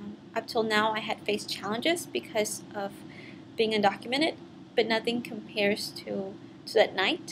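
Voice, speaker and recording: A woman with a fairly high pitch talks at a moderate pace with ordinary pitch variation and big swings in loudness over noticeable background noise. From US, raised from age four, born in Mexico. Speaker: immigration activist, college graduate. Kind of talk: personal testimony. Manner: some hesitations and fillers.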